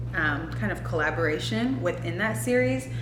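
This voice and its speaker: A woman at a moderate pace, with audible room echo and music in the background. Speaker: beauty and lifestyle vlogger. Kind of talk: casual vlog talk while doing makeup. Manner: casual, filler-heavy.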